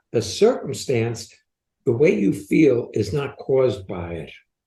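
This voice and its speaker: Speaking at a fairly slow pace, a man uses a fairly high, dark, mellow voice with vocal fry and very wide pitch swings. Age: 80s. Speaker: podcast co-host, transformation coach. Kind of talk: coaching conversation on podcast.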